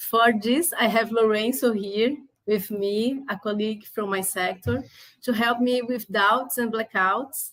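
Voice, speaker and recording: Speaking with a Brazilian Portuguese accent, a woman has a fairly high pitch and fairly even intonation. Her pace is fairly slow. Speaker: activist and journalist. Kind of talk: class presentation.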